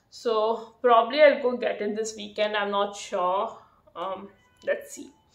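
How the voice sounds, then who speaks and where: A woman's fairly high voice rises and falls in loudness by big amounts, with ordinary pitch variation. There is audible echo from the room. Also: fairly slow pace. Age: 30s. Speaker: vlogger. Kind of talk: casual vlog monologue. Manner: hesitant, many fillers. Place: home room. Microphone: phone near.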